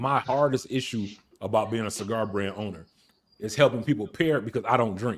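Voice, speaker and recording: In a normal speaking voice, a man with an American accent talks fairly quickly at a medium pitch and ordinary pitch variation. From Detroit, Michigan, US. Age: 40s. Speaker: cigar brand owner. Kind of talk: casual chat.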